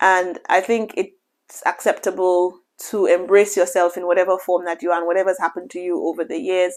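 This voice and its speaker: A woman talks at a fairly quick pace in a medium pitch with monotone, flat intonation, on a very clean recording with a silent background. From Saint Lucia. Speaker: hospital consultant doctor. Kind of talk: advice monologue to camera. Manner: conversational with frequent fillers and restarts.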